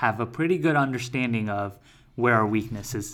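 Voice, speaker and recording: This is a man with an ordinary speaking voice. His pitch is medium, its variation ordinary, and his pace moderate. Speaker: podcast co-host. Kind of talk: casual podcast chat.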